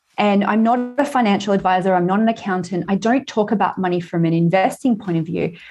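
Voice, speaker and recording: A woman with an Australian accent talks very fast at a medium pitch with hardly any pauses. Her loudness stays very even, and her pitch varies in an ordinary way. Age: 40s. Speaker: author and money coach. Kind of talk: casual interview. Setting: remote call.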